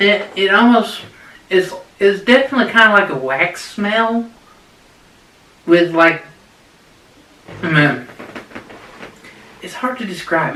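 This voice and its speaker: Speaking in a raised, projected voice at a high pitch, a man moves at a fairly slow pace with long, frequent pauses, lively intonation and big swings in loudness over noticeable background noise. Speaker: beard product reviewer. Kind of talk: product review. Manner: halting, many fillers.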